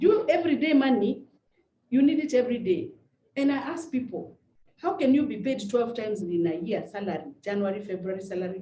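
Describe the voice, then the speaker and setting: With lively intonation and a dark, mellow tone, a woman speaks somewhat breathily at a fairly quick pace. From Kenya. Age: 50s. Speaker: network marketing trainer. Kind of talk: motivational talk. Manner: fast; animated.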